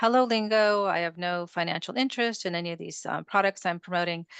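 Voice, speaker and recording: A woman uses an ordinary speaking voice at a moderate pace with ordinary pitch variation. The sound is dry and close with no echo, over a quiet background. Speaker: integrative medicine physician. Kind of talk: webinar presentation. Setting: webinar.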